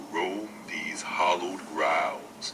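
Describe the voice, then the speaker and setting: A put-on character voice from a man, with clear background noise behind it. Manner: menacing.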